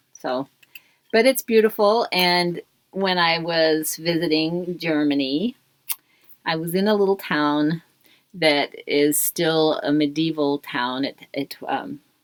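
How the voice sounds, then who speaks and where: A woman speaks at a very slow pace. The sound is dry and close, with no echo. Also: fairly low pitch for a woman, ordinary pitch variation. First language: German. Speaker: knitting podcast guest, host's mother. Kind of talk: casual chat. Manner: halting.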